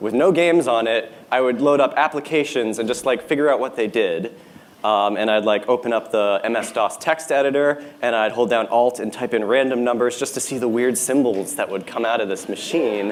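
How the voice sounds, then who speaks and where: A man at a fairly quick pace with hardly any pauses, medium pitch and ordinary pitch variation, over noticeable background noise. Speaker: internet content creator and musician. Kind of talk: presentation talk. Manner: hesitant, many fillers.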